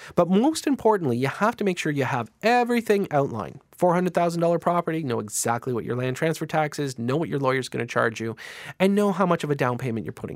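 In a very clean recording with a silent background, a man with a fairly high pitch sounds upbeat and cheerful, his pitch swinging very widely at a very fast pace. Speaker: radio host. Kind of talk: radio dj patter. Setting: radio studio. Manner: upbeat, chatty and cheerful, with a steady salesy flow.

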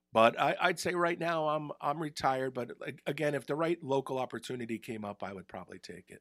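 Speaking with a New Jersey accent, a man uses lively intonation, a fairly high pitch and a fairly quick pace on a very clean, dry, close recording with a silent background and no echo. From northern New Jersey, Bergen County. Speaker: retired hockey broadcaster. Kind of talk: casual interview. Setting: studio.

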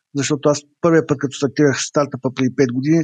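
At a very fast pace, a man speaks with fairly even intonation in a dry, close sound with no echo. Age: 40s. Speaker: entrepreneur and author. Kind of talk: online interview.

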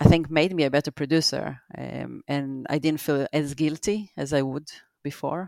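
Her voice is very deep and low, with a dark, mellow tone. The woman talks at a moderate pace in a dry, close sound with no echo. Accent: Israeli. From Israel. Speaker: visual effects producer. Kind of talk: casual interview. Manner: halting, many fillers.

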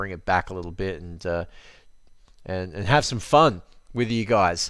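A man's fairly low voice with an Australian accent at a fairly quick pace. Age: 30s. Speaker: fitness podcaster. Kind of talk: solo podcast monologue. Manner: halting, many fillers.

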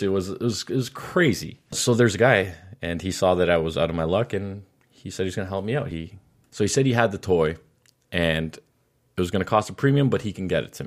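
A man with a plain, everyday voice speaks at a fairly low pitch with ordinary variation, on a very clean recording with a silent background. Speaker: podcast co-host. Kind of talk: casual banter podcast.

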